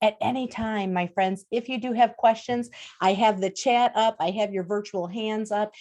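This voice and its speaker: Against a quiet background, a woman with a Wisconsin accent speaks at a moderate pace. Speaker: diversity and inclusion speaker. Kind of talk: webinar presentation. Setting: video call. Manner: animated.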